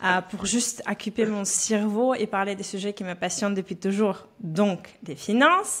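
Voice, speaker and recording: A woman at a medium pitch with a slight Belarusian accent, fairly slow and with hardly any pauses, over noticeable background noise. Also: fairly even intonation. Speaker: personal finance coach. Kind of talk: podcast interview. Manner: frequent hesitations (euh).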